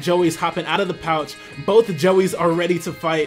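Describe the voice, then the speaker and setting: Over background music, a man speaks at a fairly quick pace in a high pitch, his tone excited and enthusiastic. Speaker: aspiring Pokemon event commentator. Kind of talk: live battle commentary. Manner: excited, enthusiastic.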